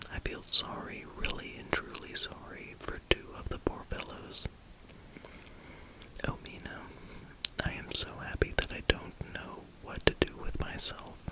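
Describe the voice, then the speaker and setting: Someone whispers at a fairly slow pace, with long, frequent pauses. Noticeable background noise runs underneath. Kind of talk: ASMR whispered reading of a novel for sleep. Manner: whispered.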